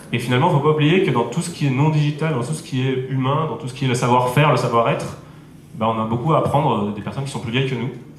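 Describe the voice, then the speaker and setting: A man of medium pitch at a very fast pace, with ordinary pitch variation and noticeable background noise. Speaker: startup and innovation consultant. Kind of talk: conference talk.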